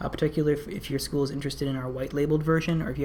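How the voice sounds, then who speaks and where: Delivered at a very fast pace with monotone, flat intonation, the speech sits over noticeable background noise. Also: woman. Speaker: company product presenter. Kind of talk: webinar presentation with Q&A. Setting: online webinar. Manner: many filler words (um, uh).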